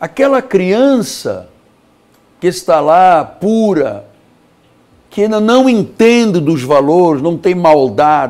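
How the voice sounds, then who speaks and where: A man's high pitch with very wide pitch swings, very even loudness, a very slow pace and long, frequent pauses. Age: 60s. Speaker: pastor. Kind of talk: sermon. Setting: studio.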